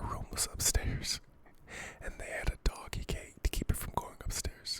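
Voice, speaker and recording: A man is whispering. His words come out in a whisper. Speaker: ASMR creator. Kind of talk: casual chat, ASMR. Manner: whispered.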